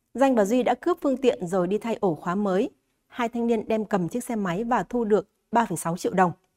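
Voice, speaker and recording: In a very clean recording with a silent background and a dry, close sound with no echo, a woman speaks at a fairly quick pace and fairly high pitch, with a dark, mellow tone and lively intonation. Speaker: news presenter. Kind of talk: news reading. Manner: formal.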